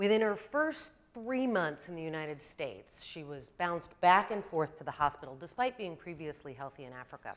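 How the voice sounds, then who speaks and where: Her pitch swings very widely and her loudness shifts a lot. The woman talks at a fairly quick pace in a fairly low pitch. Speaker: primary care pediatrician. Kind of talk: presentation talk.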